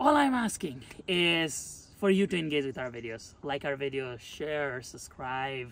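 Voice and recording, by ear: A man at a medium pitch and fairly slow pace, fairly bright in tone, with lively intonation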